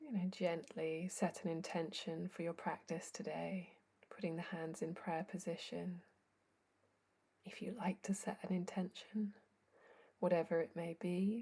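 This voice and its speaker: A woman with a fairly low pitch and a dark, mellow tone speaks in a calm, somewhat breathy voice, with fairly even intonation and long, frequent pauses. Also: fairly slow pace. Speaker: yoga teacher. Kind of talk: guided yoga class instruction. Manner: slow, calm.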